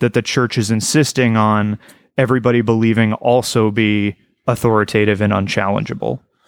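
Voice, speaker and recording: A man with an unremarkable speaking voice, fairly low pitch and an American accent, fairly quick and very even in loudness, in a dry, close sound with no echo. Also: fairly even intonation. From Portugal and US. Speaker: podcaster, former evangelical. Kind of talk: casual chat. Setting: video call.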